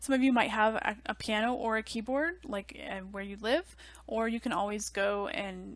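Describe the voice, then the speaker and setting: Recorded very cleanly against a silent background, a woman speaks at a moderate pace with a fairly high pitch and ordinary pitch variation. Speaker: music theory teacher. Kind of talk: lecture. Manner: casual, many fillers.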